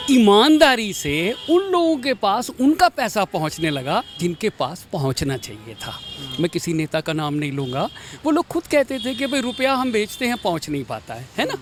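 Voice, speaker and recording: Over music in the background, a man speaks in a high pitch with very wide pitch swings. The sound is dry and close, with no echo. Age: 70s. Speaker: voter interviewed on street. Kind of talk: street interview.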